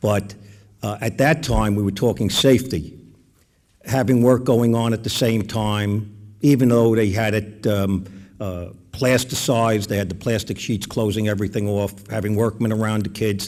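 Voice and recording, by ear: At a moderate pace, a man speaks with a slightly mellow tone, fairly low pitch and fairly even intonation.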